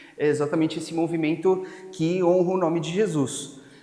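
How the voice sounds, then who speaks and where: Noticeable background noise and audible room echo surround a man with a Spanish accent and a high pitch. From Spain. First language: Spanish (speaking Portuguese). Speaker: pastor. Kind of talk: sermon.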